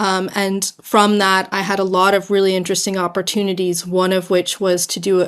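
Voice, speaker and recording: At a moderate pace, a woman with an American accent speaks at medium pitch in a monotone, flat intonation on a very clean recording with a silent background. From US, New York City. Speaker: fashion brand founder. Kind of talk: interview. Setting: podcast.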